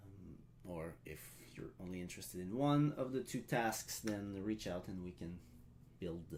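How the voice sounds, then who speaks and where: A man with a French accent speaks at a fairly slow pace in a very deep, low pitch with lively intonation. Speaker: live stream event host. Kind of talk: live stream ceremony hosting. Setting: live stream. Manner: halting, many filler sounds.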